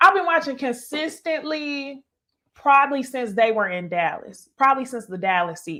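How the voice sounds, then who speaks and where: A woman speaks at a moderate pace in a raised, projected, high voice with a bright, sharp, animated tone, very wide pitch swings and big swings in loudness. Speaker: YouTuber reviewing reality TV. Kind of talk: live stream commentary with chat.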